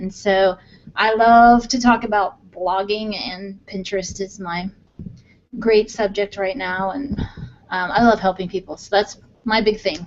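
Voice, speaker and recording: Speaking with an American accent, a woman at a medium pitch uses fairly even intonation, a fairly slow pace and big swings in loudness. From Missouri. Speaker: blogger. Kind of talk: casual chat.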